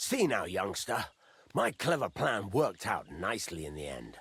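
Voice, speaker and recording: Putting on a gruff character voice, a man with a fairly low pitch talks at a moderate pace, making very wide pitch swings and big swings in loudness. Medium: video game. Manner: gruff, blunt.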